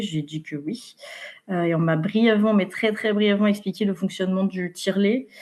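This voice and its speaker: With noticeable background noise behind her, a woman talks at a medium pitch. Her pace is fairly quick. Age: 20s. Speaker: mother sharing breastfeeding story. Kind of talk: interview testimony. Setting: podcast interview. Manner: many hesitations (euh).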